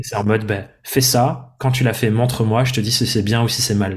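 At a very fast pace, a man speaks in a medium pitch, somewhat breathy, with fairly even intonation. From France, Dordogne. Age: 20s. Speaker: entrepreneur and podcaster. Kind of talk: interview conversation. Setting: seated at his desk.

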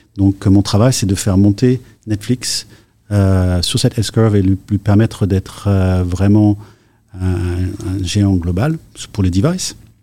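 A man with a dark, mellow tone and a fairly low pitch speaks at a very slow pace. He leaves long, frequent pauses. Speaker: tech executive. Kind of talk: interview. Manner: halting.

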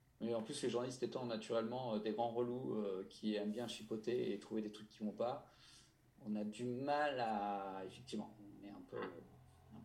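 Audible room echo follows a man of medium pitch as he talks at a fairly slow pace. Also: ordinary pitch variation. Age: 30s. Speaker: motorcycle journalist. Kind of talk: casual chat.

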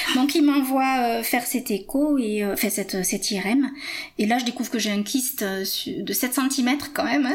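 The pace of this woman's speech is fairly slow. Her pitch moves in an ordinary way. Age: 50s. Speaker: patient sharing testimony. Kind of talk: testimony. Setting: at home.

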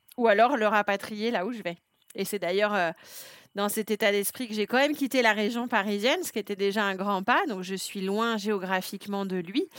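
Delivered at a moderate pace with ordinary pitch variation, the speech comes through on a very clean recording with a silent background. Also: woman, medium pitch for a woman. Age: 40s. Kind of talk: interview testimony. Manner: hesitant, many fillers.

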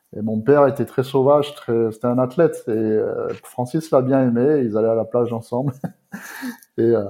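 He has a normal speaking voice at a medium pitch. The man talks at a moderate pace with fairly even intonation. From southern France, Provence. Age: 30s. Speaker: bodybuilding posing coach. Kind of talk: podcast interview.

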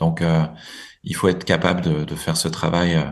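In a monotone, flat intonation, a man speaks at a very deep, low pitch. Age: 40s. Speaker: executive of a nonprofit group. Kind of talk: interview. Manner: halting, with many repetitions and fillers.

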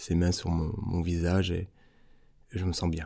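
A man speaks in a very deep, low pitch with a dark, mellow tone and monotone, flat intonation. The recording is very clean, with a silent background. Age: 30s. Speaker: restaurant worker. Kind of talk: personal storytelling interview. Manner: hesitant, many filler sounds.

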